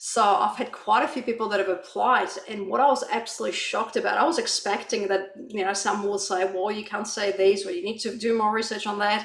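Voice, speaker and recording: A woman with a non-native accent speaks at a fairly quick pace with hardly any pauses, at medium pitch and with fairly even intonation. The recording has audible room echo and noticeable background noise. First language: not English. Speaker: author. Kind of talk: panel discussion. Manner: hesitant, many fillers.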